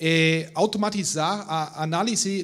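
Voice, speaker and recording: Speaking very slowly with a non-native accent, a man uses a high pitch with ordinary pitch variation. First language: not Portuguese (speaking Portuguese). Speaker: industrial research manager. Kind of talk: reading aloud a prepared text. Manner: halting, many hesitations.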